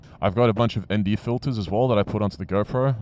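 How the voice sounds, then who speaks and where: Against a quiet background, a man with an Australian accent talks at a very fast pace with ordinary pitch variation. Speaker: motovlogger. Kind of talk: casual vlog talk.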